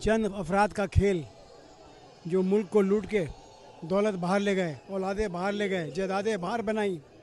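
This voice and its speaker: His voice is high for a man, and his intonation stays fairly even. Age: 70s. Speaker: retired air force veteran. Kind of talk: street interview. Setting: outdoors at beach rally.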